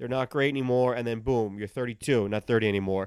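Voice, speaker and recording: Speaking with a New York accent, a man shows ordinary pitch variation in a dry, close recording with no echo. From New York City, Queens (Middle Village). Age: 30s. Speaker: comedian. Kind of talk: casual chat. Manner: loud.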